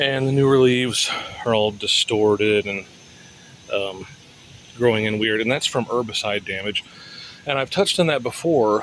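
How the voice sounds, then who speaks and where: Over noticeable background noise, a man at medium pitch talks at a moderate pace with ordinary pitch variation and long, frequent pauses. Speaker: home gardener. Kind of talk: casual talk to camera. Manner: hesitant, stammering.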